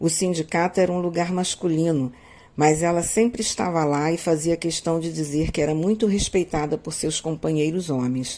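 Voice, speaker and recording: The woman's voice has a fairly low pitch, a dark, mellow tone and ordinary pitch variation. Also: moderate pace. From Magé, Rio de Janeiro state, Brazil. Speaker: history professor. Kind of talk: scripted narration.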